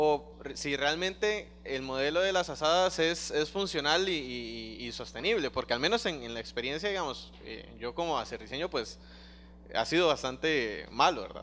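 Someone speaks at a moderate pace over light background noise. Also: man. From Costa Rica. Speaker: student. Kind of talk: classroom question. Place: classroom.

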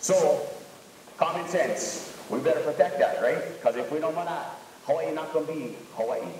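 Audible room echo sits over light background noise in this clip. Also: moderate pace. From Hawaii. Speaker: local fisherman in documentary. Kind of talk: documentary interview. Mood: earnest, protective. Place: classroom.

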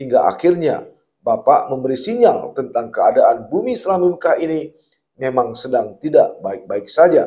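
Against a quiet backdrop, the talking proceeds at a moderate speed. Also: man. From Aceh, Indonesia. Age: 50s. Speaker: journalist and commentator; journalist, commentator. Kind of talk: open letter read aloud. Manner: formal. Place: studio. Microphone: lapel.

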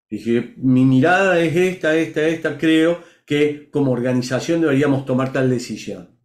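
A man talks at a moderate pace with hardly any pauses and very even loudness, and his pitch variation is ordinary. The background is quiet, though audible room echo comes through. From Argentina, Córdoba; Argentina. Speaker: leadership coach guest. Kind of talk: interview storytelling. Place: home room. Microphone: video call.

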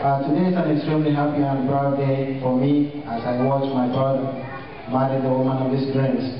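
Strong room echo and noticeable background noise surround a man speaking in monotone, flat intonation. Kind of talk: wedding toast speech. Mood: warm, proud. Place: hall. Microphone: camera far.

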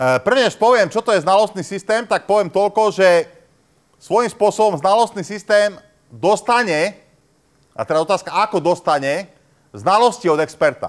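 Against a quiet background, a man speaks at a high pitch and a moderate pace with ordinary pitch variation. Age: old. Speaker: university professor. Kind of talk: lecture. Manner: hesitant, many fillers. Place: classroom.

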